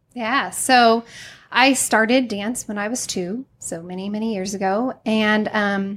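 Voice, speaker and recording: A woman speaks with a Midwestern accent. She talks at a fairly slow pace. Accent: general American, Midwestern. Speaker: dance studio owner. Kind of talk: casual interview chat. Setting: studio.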